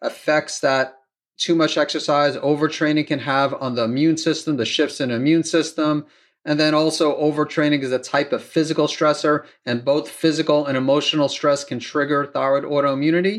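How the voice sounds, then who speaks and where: It is a normal speaking voice. The tempo stays moderate. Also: man. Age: 50s. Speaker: doctor hosting a thyroid health podcast. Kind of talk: solo Q and A monologue.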